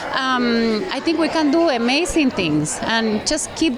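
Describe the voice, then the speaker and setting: Speaking in a Spanish accent, a woman uses a high pitch with very wide pitch swings amid noticeable background noise. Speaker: event emcee. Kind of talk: casual interview at event. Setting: live event reception. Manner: animated.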